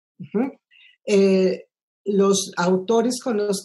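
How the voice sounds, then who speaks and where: A woman's somewhat breathy voice at a medium pitch, with ordinary pitch variation. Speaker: film composer. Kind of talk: interview. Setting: video call.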